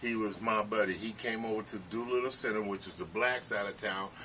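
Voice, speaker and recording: A man with a fairly low voice speaks fairly quickly amid noticeable background noise. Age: 60s. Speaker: former bodybuilder. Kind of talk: casual interview.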